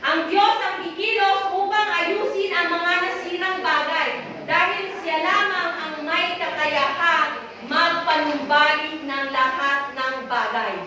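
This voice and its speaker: Over noticeable background noise and audible room echo, a woman speaks in a raised, projected voice at a very slow pace, with an extremely high pitch and ordinary pitch variation. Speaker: preacher. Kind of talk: sermon. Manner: loud.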